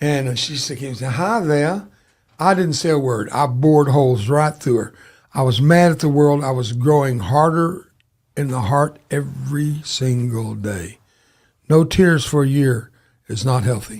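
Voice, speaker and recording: A man with a Southern US accent speaks at a fairly slow pace with a fairly high, somewhat breathy voice. His pitch varies in an ordinary way, and the recording is very clean with a silent background. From US South. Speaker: war veteran. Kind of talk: interview testimony.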